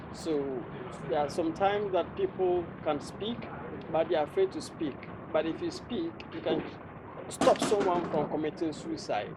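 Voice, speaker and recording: A man with a Ghanaian accent speaks at a moderate pace in a high voice with ordinary pitch variation, leaving long, frequent pauses over noticeable background noise. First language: Ghanaian local language. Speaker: public speaking coach. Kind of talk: interview.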